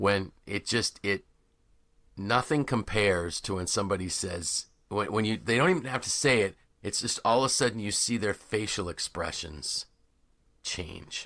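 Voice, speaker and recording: Recorded very cleanly over a silent background, a man with a fairly low pitch speaks at a moderate pace, using ordinary pitch variation and a bright, sharp tone. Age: 60s. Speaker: podcast host and leadership coach. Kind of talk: casual interview conversation. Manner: halting, many fillers and restarts.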